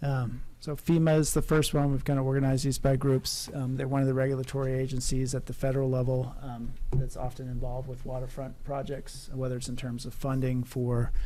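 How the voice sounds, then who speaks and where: With hardly any pauses, a man talks at a fairly quick pace in a medium pitch, his dark, mellow tone held to a flat monotone amid audible room echo. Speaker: project manager, coastal consultant. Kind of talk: public workshop presentation. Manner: quiet, soft-spoken; hesitant, many fillers.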